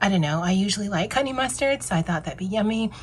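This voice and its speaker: A woman with a medium pitch and a somewhat breathy voice uses lively intonation on a very clean recording with a silent background. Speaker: lifestyle vlogger. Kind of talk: casual vlog talk. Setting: office at work. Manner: casual, hesitant with fillers.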